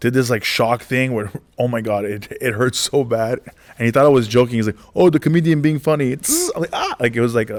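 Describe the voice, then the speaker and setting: An animated man talks at a fairly quick pace with an American accent. His pitch sits in the medium range and varies in an ordinary way. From Los Angeles. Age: 40s. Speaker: stand-up comedian. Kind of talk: interview storytelling.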